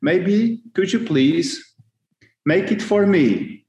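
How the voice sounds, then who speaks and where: With a Polish accent, a man talks very slowly in a dark, mellow tone, his intonation lively. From Poland. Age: 40s. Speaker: custom car parts business owner. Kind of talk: casual interview. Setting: video call. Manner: halting, many fillers.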